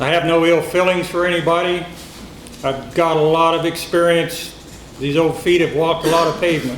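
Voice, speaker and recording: A loud man speaks at a high pitch and moderate pace. Room echo is audible, along with noticeable background noise. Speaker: sheriff candidate. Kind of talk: campaign speech.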